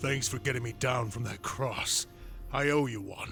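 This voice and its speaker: In a raspy, put-on character voice at medium pitch, a man speaks at a moderate pace with clear music in the background. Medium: video game.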